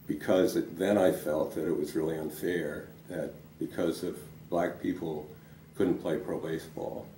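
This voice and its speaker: In an American accent, a man with a very deep, low pitch and a dark, mellow, somewhat breathy tone speaks at a moderate pace with fairly even intonation, with audible room echo. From US Northeast, Providence, Rhode Island. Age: 70s. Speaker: lawyer and civil rights veteran. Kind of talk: oral history interview. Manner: hesitant, many fillers.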